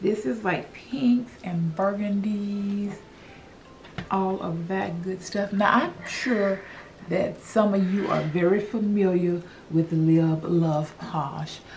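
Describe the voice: A woman speaks slowly at medium pitch, her tone slightly mellow with ordinary pitch variation. Faint background noise sits behind her.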